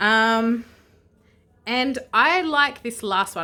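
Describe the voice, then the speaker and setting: On a very clean recording with a silent background, a woman with an Australian accent speaks at a fairly high pitch with lively intonation and a bright, sharp tone. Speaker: vlogger. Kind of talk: casual unboxing vlog. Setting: indoors at home. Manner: hesitant, many fillers.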